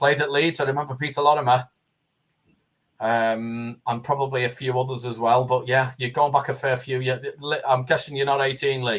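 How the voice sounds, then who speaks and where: A somewhat breathy man with a Liverpool accent, medium pitch, fairly even intonation and a fairly quick pace. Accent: Liverpool (Scouse). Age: 60s. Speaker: football fan guest. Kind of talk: casual chat. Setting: live stream.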